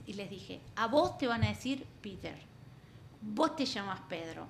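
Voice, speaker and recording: A woman with an Argentine accent speaks at a fairly high pitch with lively intonation. Noticeable background noise and audible room echo accompany her voice. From Argentina. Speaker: coach and therapist. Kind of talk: interview.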